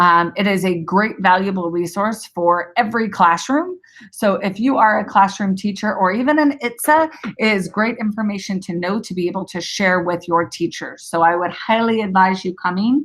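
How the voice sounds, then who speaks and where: A woman at a moderate pace, an ordinary speaking voice, medium in pitch with ordinary pitch variation. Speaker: educational technology trainer. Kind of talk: webinar instruction. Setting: online webinar broadcast.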